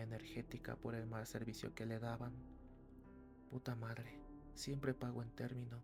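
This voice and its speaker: A soft-spoken man at a fairly slow pace, with music in the background. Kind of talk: horror story reading for sleep.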